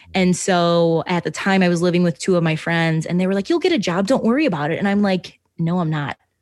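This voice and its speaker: A woman's fairly low voice, very fast and animated, with hardly any pauses, very even loudness and a quiet background. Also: ordinary pitch variation. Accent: American. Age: 20s. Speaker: podcast host. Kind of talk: casual chat.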